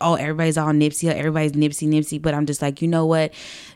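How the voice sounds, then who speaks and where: A woman's very deep, low voice comes through a very clean recording with a silent background. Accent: American. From Los Angeles, US West Coast. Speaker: comedy writer. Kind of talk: casual chat.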